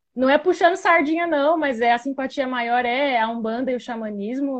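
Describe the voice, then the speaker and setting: In a high voice, a woman talks with pitch that varies in a typical way. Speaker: spirituality content creator. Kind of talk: live stream interview. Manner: casual, informal.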